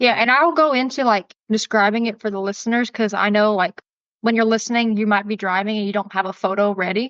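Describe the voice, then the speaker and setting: With a Southern US accent, a woman races along at a very fast pace, her fairly high pitch showing ordinary pitch variation in a dry, close sound with no echo. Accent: Southern accent, lighter than some. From US South, Augusta, Georgia. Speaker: tour guide and podcast host. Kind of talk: casual chat.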